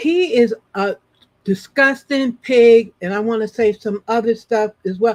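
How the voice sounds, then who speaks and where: Speaking at a fairly slow pace, a woman with a fairly high pitch and an animated tone uses ordinary pitch variation in a dry, close sound with no echo. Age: 50s. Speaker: online talk show host. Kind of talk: casual chat.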